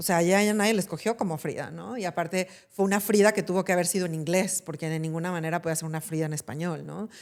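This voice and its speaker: A woman with a western Mexican accent and a fairly low pitch, very fast and with hardly any pauses, normal pitch movement, on a very clean recording with a silent background. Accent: Mexican Spanish, western Mexico. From Mexico, Jalisco (Guadalajara, Talpa). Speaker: actress and film producer. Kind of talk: podcast interview.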